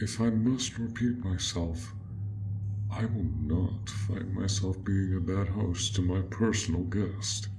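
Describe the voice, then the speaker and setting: A man uses a put-on character voice at a fairly slow pace. Loud background noise runs underneath. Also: fairly low pitch for a man. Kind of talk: audio role play. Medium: role play. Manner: soft-spoken, polite.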